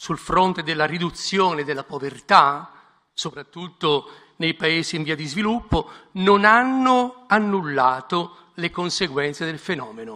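Here a man talks at a moderate pace in a high pitch. His tone is bright and sharp, with lively intonation. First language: Italian. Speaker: bishop. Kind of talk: prepared speech.

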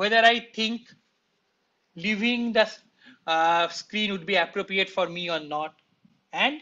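With a high pitch and a bright, sharp tone, a man speaks using lively intonation.

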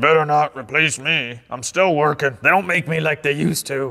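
Using a put-on character voice, a man speaks fairly high in pitch. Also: moderate pace. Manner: grumpy.

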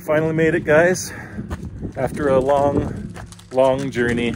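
A man's voice with ordinary pitch variation, dry with no echo, over music in the background. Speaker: travel vlogger. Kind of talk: casual vlog chat. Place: open country. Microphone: phone near.

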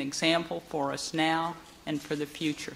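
Light background noise sits behind a woman with a fairly low pitch. She talks at a fairly slow pace. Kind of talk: formal ceremonial speech. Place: hall. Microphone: podium.

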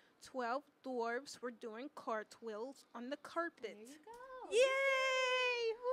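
A very slow pace with big swings in loudness, over noticeable background noise. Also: woman. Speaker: student radio host. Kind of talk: casual chat. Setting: studio. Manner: animated. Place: studio. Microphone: studio mic.

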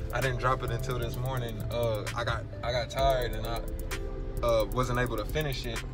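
Clear music plays in the background as a man speaks at a fairly quick pace, the sound dry with no echo. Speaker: sneaker vlogger. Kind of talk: casual vlog chat. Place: car. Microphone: phone near.

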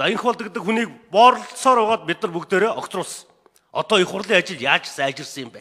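Against a quiet background, a man projects a raised voice at high pitch, fairly quick, with lively intonation and big swings in loudness. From Mongolia. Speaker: member of parliament. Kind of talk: parliamentary speech. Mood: critical, pointed. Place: hall. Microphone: podium.

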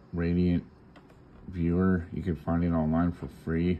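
Someone talks at a fairly slow pace over noticeable background noise. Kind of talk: tutorial. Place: home room. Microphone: phone near.

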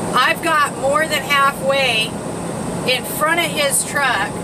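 A woman talks very slowly while loud noise fills the background. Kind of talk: casual vlog chat. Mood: annoyed at other driver. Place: car. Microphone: phone near.

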